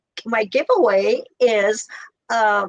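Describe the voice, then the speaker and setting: Speaking very slowly, a woman has a fairly high-pitched voice. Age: 60s. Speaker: immigration consultant, business owner. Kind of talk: live talk show interview chat. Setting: livestream on social media. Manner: hesitant, many fillers.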